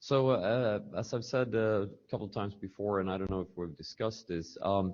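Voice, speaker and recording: A man with a non-native accent and fairly low pitch talks at a fairly quick pace with ordinary pitch variation. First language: not English. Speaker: network engineer, meeting participant. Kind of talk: technical meeting discussion. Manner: halting.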